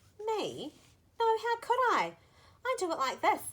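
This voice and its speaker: A woman puts on a squeaky character voice pitched extremely high, speaking at a fairly slow pace. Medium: read story.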